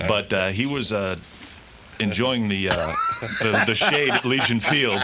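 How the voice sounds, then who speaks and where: A man talks at a fairly slow pace with long, frequent pauses. His pitch varies in an ordinary way, with music in the background. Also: medium pitch for a man. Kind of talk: casual storytelling in radio banter.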